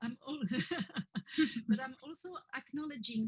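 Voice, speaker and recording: Recorded dry and close with no echo, a woman with a French accent sounds somewhat breathy. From France, Paris area. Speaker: French teacher. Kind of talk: interview workshop.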